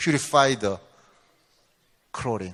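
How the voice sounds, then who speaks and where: A man with a non-native accent, very slow pace and very wide pitch swings. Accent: non-native English, limited. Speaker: researcher giving a company seminar. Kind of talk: lecture. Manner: halting.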